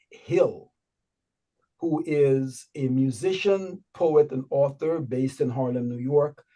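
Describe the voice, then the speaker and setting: A man with a Guyanese accent speaks at a fairly slow pace in a dark, mellow tone, his fairly high pitch moving with ordinary variation. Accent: Guyanese Berbice. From Guyana, Berbice. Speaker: online show host. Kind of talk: show announcements.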